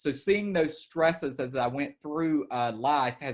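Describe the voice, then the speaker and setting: A man speaks with an Alabama accent. His pace is fairly slow. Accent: Southern US (Alabama). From Alabama, US South. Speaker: estate planning attorney. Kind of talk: webinar presentation. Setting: video call.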